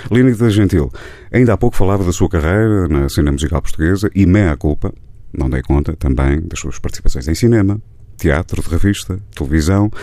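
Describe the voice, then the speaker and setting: A man talks at a fairly quick pace in a very deep, low pitch with lively intonation. Noticeable background noise runs underneath. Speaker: radio host. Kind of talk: radio interview. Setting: radio studio. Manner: formal.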